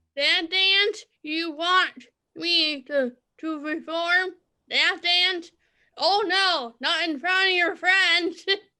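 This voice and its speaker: A woman's put-on character voice, extremely high-pitched, at a very slow pace. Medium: stage play. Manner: defiant, sassy.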